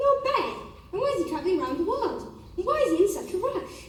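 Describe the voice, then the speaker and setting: A woman puts on a squeaky character voice at an extremely high pitch with very wide swings. She races along at a very fast pace, and a clear echo follows her. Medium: cartoon. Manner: deferential, always saying sir.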